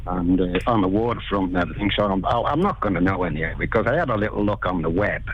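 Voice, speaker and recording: Over noticeable background noise, a man with a Liverpool accent rattles along at a very fast pace with hardly any pauses, his fairly low pitch moving in an ordinary way and his loudness very even. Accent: Scouse. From Liverpool, England. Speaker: builder, interview guest. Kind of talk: casual radio interview. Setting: phone call. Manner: halting.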